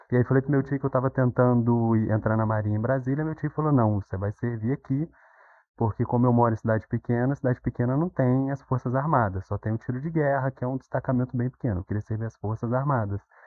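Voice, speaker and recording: His pace is very fast. The man's intonation remains fairly even. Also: medium pitch for a man. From Minas Gerais, Brazil. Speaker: psychology graduate, former military, IT worker. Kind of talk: podcast interview.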